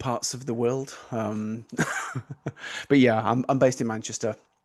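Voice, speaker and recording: A man with an English accent speaks at a medium pitch in a monotone, flat delivery. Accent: notable English. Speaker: product owner. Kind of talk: live webinar. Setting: video call.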